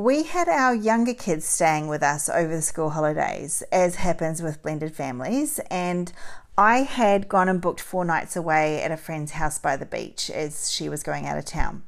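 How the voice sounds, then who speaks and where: A woman with a plain, everyday voice talks at a moderate pace with hardly any pauses, her fairly low pitch shaped by lively intonation. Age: 40s. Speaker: podcast host. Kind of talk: solo podcast monologue.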